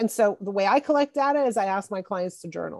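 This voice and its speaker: In a plain, everyday voice, a woman talks at a fairly quick pace with lively intonation, recorded dry and close with no echo. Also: quiet background. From Montreal, Quebec, Canada. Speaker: executive coach. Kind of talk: interview.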